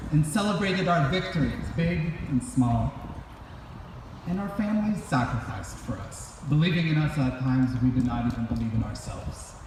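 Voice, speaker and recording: A man with very wide pitch swings, noticeable background noise and audible room echo. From immigrant to US as a child. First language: non-English. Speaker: graduate speaker. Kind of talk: commencement speech. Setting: graduation ceremony. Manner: formal.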